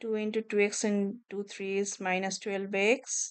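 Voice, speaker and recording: The speaker talks very slowly in a monotone, flat intonation. The background is quiet. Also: woman. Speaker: math teacher. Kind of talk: tutorial.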